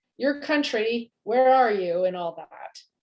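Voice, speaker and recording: A woman with an American accent speaks at a fairly slow pace in a high pitch with ordinary pitch variation, on a very clean recording with a silent background. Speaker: podcast host. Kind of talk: interview.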